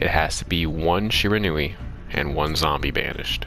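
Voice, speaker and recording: A man talks in a very deep, low pitch. Music plays in the background, and the room echo is audible. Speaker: gaming youtuber. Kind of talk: deck profile commentary. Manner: mumbling and stumbling over words; casual, halting.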